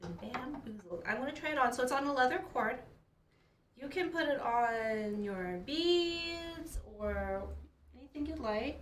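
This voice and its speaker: Noticeable background noise accompanies a woman speaking at a fairly slow pace. Her high voice has lively intonation. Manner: upbeat.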